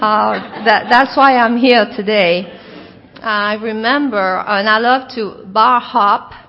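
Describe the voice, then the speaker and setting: With a French Canadian accent, a woman speaks very slowly at a fairly high pitch and with fairly even intonation over noticeable background noise. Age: 50s. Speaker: recovering alcoholic speaker. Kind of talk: recovery talk.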